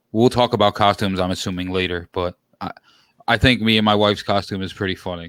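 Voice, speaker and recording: A man with a New York accent speaks very fast in a fairly low pitch with fairly even intonation. The sound is dry and close with no echo, on a very clean recording with a silent background. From New York City, Queens. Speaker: sports podcast host, guest. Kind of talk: casual chat. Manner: loud.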